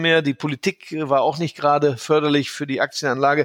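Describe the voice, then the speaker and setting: With a plain, everyday voice, a man speaks fairly quickly at a fairly high pitch, in a very clean recording with a silent background and a dry, close sound with no echo. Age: 50s. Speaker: portfolio manager. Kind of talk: interview.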